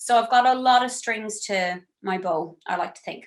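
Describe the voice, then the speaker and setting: With a western Irish accent, a woman speaks with fairly even intonation. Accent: Irish (west of Ireland). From Ireland, County Galway (west of Ireland). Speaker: singer-songwriter and vocal workshop teacher. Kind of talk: workshop lecture. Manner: casual, chatty.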